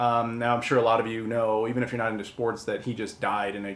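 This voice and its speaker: A man with an American accent speaks fairly quickly at a medium pitch. Room echo is audible around him. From US Midwest, Chicago. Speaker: video game collector host. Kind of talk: casual vlog monologue. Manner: casual, filler-heavy. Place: home room.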